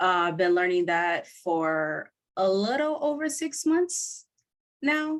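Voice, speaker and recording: Her pitch is fairly low for a woman. Still, it swings very widely. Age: 30s. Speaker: podcaster and language learner. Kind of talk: interview. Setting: video call.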